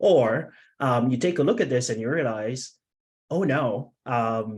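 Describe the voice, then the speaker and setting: Speaking at medium pitch with lively intonation, a man has an unremarkable speaking voice. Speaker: venture capital managing director. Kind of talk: webinar presentation.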